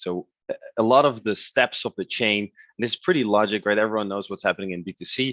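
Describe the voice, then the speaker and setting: A man with a Dutch accent speaks at a fairly quick pace, fairly low in pitch. His pitch variation is ordinary, and the sound is dry and close with no echo. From Netherlands. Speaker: e-commerce platform representative. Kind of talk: webinar presentation. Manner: halting, many fillers.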